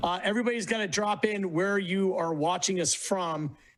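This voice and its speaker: This man has a high voice and fairly even intonation at a moderate pace. Background noise is noticeable. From Virginia. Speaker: co-host. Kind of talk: casual chat.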